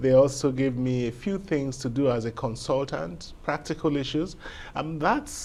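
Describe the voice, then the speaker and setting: A man speaks with a Nigerian accent. His pitch sits in the medium range. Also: ordinary pitch variation, moderate pace. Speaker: lawyer and legal academic. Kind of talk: interview. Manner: measured, articulate.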